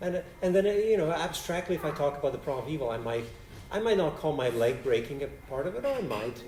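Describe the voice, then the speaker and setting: A man talks at a very fast pace with lively intonation and a fairly high pitch. Audible room echo surrounds his voice. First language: Polish. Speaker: philosophy professor. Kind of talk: Q&A after a lecture. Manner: halting, many restarts.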